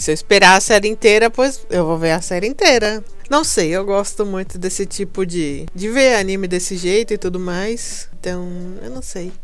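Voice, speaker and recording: A woman at medium pitch with ordinary pitch variation and a moderate pace, amid audible room echo and music in the background. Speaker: podcast host. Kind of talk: casual solo monologue. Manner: halting, repeats words.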